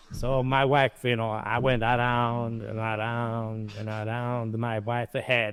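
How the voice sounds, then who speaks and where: A man with a medium-pitched voice speaks at a very slow pace in a monotone, flat intonation, with hardly any pauses. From Italy. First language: Italian. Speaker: chef and restaurant owner. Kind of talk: interview. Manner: halting.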